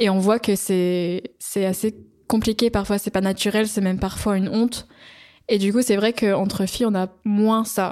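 A woman's medium-pitched, monotone, flat voice at a moderate pace, on a very clean recording with a silent background. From northern England (Newcastle). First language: English (speaking French). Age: 20s. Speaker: student. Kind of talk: casual chat.

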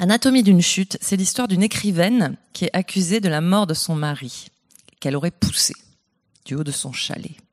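A woman speaks at a moderate pace. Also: dry, close sound with no echo. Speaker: novelist. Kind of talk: panel discussion. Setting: stage with audience.

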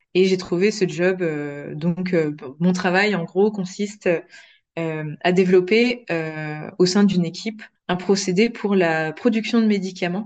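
A woman's medium-pitched voice, very slow and fairly even in intonation, with long, frequent pauses. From France. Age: 20s. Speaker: process engineer. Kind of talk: interview. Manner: hesitant, many fillers.

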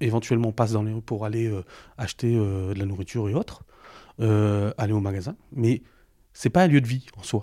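The voice has a dark, mellow tone and ordinary pitch variation, moving at a fairly quick pace broken by long, frequent pauses, on a very clean recording with a silent background. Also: man, fairly low pitch for a man. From Roubaix, northern France. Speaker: founder of a parkour association. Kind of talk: interview. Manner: halting.

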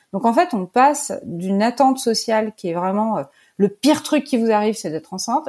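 In a very clean recording with a silent background, a woman with a fairly high pitch, a dark, mellow tone and a somewhat breathy quality talks at a fairly quick pace with lively intonation. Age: 40s. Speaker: artist. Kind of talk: interview.

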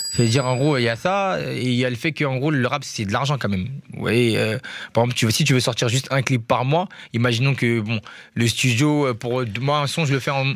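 A plain, everyday voice from a man, medium in pitch with ordinary pitch variation and a fairly quick pace, on a very clean recording with a silent background. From Paris, 19th arrondissement. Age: 20s. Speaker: rapper. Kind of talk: radio interview.

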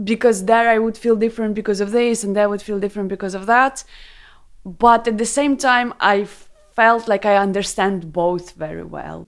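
A woman with a Ukrainian accent, medium pitch, moderate pace and fairly even intonation. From Ukraine, Kharkiv. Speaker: interviewee sharing personal story. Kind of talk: casual interview chat.

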